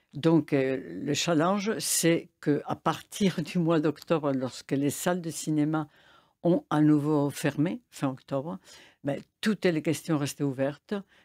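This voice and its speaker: With a Spanish accent, a woman speaks very slowly at a very deep, low pitch, her tone dark and mellow with ordinary pitch variation, on a very clean, dry, close recording with a silent background and no echo. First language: Spanish (speaking French). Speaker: film festival director. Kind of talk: radio interview. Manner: hesitant, many fillers.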